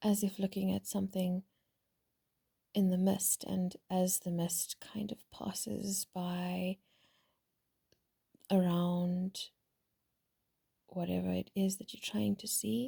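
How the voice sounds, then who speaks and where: The delivery is very slow, with a calm tone and long, frequent pauses. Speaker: spiritual vlogger. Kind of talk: casual reflective monologue.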